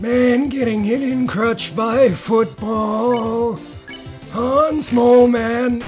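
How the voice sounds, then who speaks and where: A put-on character voice with fairly high pitch moves at a very slow pace while clear music and clear background noise sit behind it. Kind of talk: gameplay commentary. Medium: solo performance. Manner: timid, whining. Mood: meek old man.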